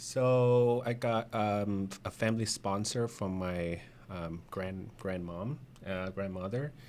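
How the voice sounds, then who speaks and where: A man's fairly low voice with a Vietnamese accent, ordinary pitch variation and a very slow pace. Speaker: insurance agent. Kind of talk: interview. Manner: halting.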